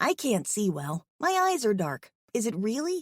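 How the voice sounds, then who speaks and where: With very wide pitch swings, a put-on character voice goes along at a moderate pace. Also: female-sounding voice, fairly high pitch for a woman. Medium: read story. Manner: flustered.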